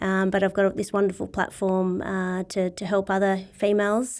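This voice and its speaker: A woman of medium pitch speaks with a dark, mellow tone. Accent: Australian. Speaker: CEO of a sporting body. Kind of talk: interview.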